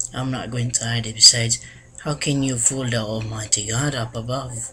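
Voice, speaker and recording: Speaking at a moderate pace, a man with a Filipino accent uses ordinary pitch variation. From Philippines. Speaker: vlogger. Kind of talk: casual vlog monologue. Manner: halting, with many restarts.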